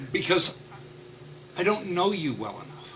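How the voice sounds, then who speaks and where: Noticeable background noise and audible room echo surround a man who speaks at a moderate pace with ordinary pitch variation. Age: 60s. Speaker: marketing consultant. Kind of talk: podcast interview.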